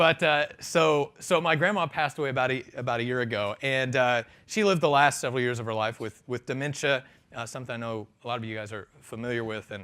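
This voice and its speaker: Speaking at a very fast pace, a man with an American accent has a bright, sharp tone and a medium pitch with ordinary variation. The recording is very clean and the background silent. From rural US. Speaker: conference keynote speaker. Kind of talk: keynote speech. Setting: stage with audience. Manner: conversational, many filler words.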